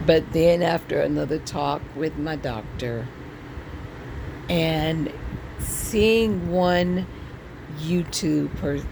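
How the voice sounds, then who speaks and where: Very slowly and with long, frequent pauses, a woman speaks against noticeable background noise. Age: 60s. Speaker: vlogger sharing health journey. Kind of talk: personal vlog testimony. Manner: casual, hesitant with fillers.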